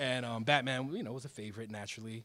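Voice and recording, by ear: Fast and bright with a sharp tone, a man with an American accent talks at a medium pitch with ordinary pitch variation.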